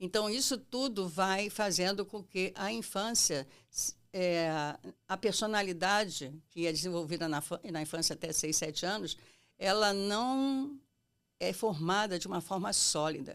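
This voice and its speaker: A woman talks at a fairly slow pace in a medium pitch with ordinary pitch variation and an unremarkable speaking voice. The recording is very clean, with a silent background. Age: 60s. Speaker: psychoanalyst. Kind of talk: interview.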